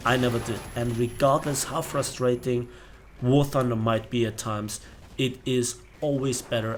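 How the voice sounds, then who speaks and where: A man's somewhat breathy voice comes through at medium pitch. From Bavaria, Germany. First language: German. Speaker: gaming youtuber. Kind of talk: casual chat. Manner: hesitant, many fillers.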